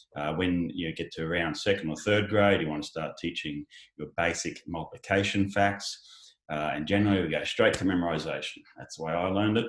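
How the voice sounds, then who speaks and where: With an Australian accent, a man with a very deep, low voice talks at a fairly quick pace with hardly any pauses. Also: ordinary pitch variation. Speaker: education company founder. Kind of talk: panel discussion. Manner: halting, many fillers.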